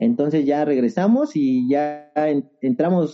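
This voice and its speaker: A man with lively intonation delivers his words at a very slow pace. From Mexico City area (Estado de México, Ajusco). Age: 30s. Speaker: trail runner. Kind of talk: casual interview chat.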